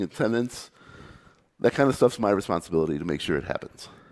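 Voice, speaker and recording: This man talks at a very fast pace, with vocal fry and lively intonation. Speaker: computer scientist. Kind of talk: conference talk.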